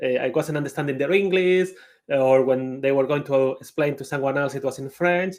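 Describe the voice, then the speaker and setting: Ordinary pitch variation marks a man speaking with a Spanish accent. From Spain. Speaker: conference speaker, IT project manager. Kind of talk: conference talk.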